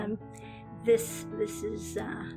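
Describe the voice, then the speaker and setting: A woman at a very slow pace, music in the background. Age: 70s. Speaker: childhood leukemia survivor. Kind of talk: interview answer. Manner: hesitant, conversational.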